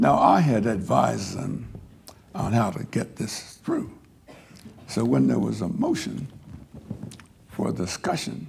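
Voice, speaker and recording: Audible room echo surrounds a man who speaks at a fairly slow pace with long, frequent pauses. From US Northeast (South Jersey, Pennsylvania). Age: 80s+. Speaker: civil rights veteran, lecture speaker. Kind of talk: lecture.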